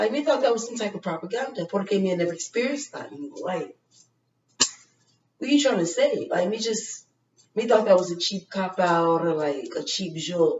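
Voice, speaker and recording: Speaking at a moderate pace, a woman uses lively intonation at a medium pitch. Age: 30s. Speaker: vlogger. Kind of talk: casual talk to camera.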